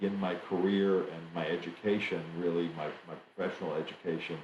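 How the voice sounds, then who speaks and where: With an American accent, a man speaks fairly quickly in a very deep, low voice and a flat monotone, with audible room echo. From Germany. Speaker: trade association executive. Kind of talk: interview. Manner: halting, many fillers.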